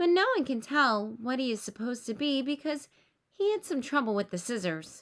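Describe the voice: The pitch makes big swings while the pace stays moderate. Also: woman, high pitch for a woman.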